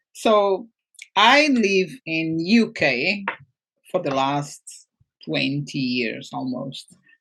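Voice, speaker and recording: Very slow and marked by long, frequent pauses, a woman speaks with a Portuguese accent in a fairly low pitch, with very wide pitch swings. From Portugal. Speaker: mindset coach and entrepreneur. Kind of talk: interview.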